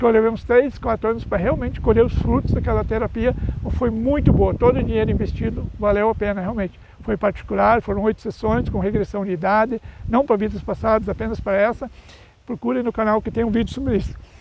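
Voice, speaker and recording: Noticeable background noise sits behind a man speaking at a fairly quick pace. His pitch is high and his intonation fairly even. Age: 60s. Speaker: YouTuber and speaker on mental health. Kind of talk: casual vlog monologue. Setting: outdoors. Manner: halting, with self-corrections.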